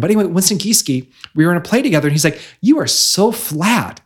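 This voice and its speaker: A man's normal speaking voice with an American accent, lively intonation and a fairly quick pace. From central Illinois (Bloomington-Normal). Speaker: author, life coach and radio host. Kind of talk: casual interview. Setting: in person in Chicago.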